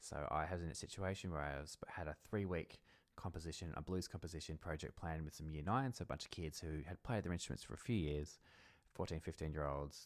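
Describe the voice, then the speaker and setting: Against a quiet background, a man talks at a very fast pace. His pitch is very deep and low, with ordinary pitch variation. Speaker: music educator. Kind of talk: screen-recorded software tutorial. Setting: home recording, mic off-centre. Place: home room. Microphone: studio mic.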